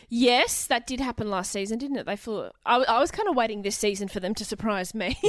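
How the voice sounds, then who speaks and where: In a very clean recording with a silent background, a woman with an Australian accent talks at a fairly quick pace and fairly high pitch with ordinary pitch variation. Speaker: comedian and TV co-host. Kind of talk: casual chat.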